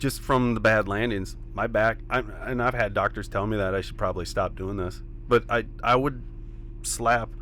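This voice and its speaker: The speaker is a man. He talks at a moderate pace. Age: 30s. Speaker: professional ATV freestyle rider. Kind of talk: casual interview chat.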